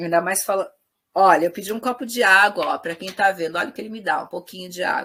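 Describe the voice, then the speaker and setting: At a very fast pace, a woman with a medium pitch, ordinary pitch variation, and a bright, sharp tone speaks with big swings in loudness. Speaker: psychoanalysis teacher. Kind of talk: lecture. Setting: live-streamed class with audience. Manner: relaxed, informal.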